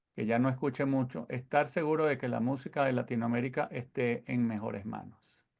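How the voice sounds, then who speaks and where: In a Venezuelan accent, a man at medium pitch speaks at a moderate pace with vocal fry and fairly even intonation. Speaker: sound engineer. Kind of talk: lecture.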